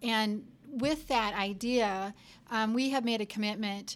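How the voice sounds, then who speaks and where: In a very clean recording with a silent background, a woman speaks in a monotone, flat intonation at a fairly high pitch. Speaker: company CEO and podcast host. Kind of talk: interview.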